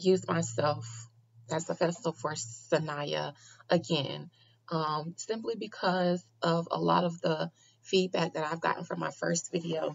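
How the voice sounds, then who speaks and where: A woman speaks at a very slow pace with a fairly low pitch and vocal fry. Light background noise is present. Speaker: vlogger. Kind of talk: casual vlog commentary. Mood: earnest, frustrated. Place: home room. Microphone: webcam.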